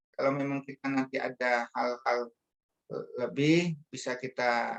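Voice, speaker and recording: With a dry, close sound and no echo, a man talks at a medium pitch and fairly slow pace, his intonation monotone and flat. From Indonesia, Bangka Belitung (Pangkal Pinang). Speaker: religious speaker. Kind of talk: religious talk. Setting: online meeting. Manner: hesitant, many fillers.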